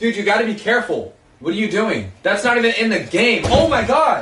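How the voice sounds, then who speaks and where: Through noticeable background noise, a man's voice comes at a moderate pace. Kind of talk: comedic skit dialogue. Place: home room. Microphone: phone near.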